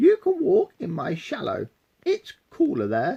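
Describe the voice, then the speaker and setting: A put-on character voice speaks at a high pitch and a fairly slow pace. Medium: read story.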